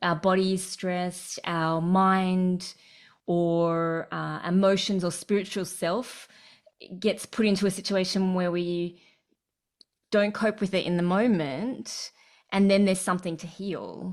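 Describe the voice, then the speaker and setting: In an Australian accent, a woman speaks fairly slowly at a medium pitch with fairly even intonation, on a very clean recording with a silent background. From Sydney, Australia. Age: 40s. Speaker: breathwork facilitator and coach. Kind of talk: casual interview.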